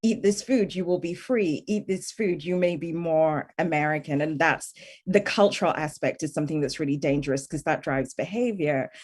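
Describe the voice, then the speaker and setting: A woman with a British accent speaks at a moderate pace with ordinary pitch variation and hardly any pauses, over a quiet background. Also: fairly low pitch for a woman. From UK. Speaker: tech policy expert. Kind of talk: panel discussion.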